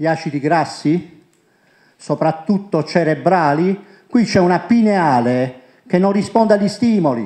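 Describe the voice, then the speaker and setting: In a quiet background, a man with a high pitch and a dark, mellow tone talks at a fairly slow pace, using lively intonation and long, frequent pauses. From Puglia, Italy (Monopoli); Puglia, Italy. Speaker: presenter. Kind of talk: conference talk. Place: hall. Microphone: handheld.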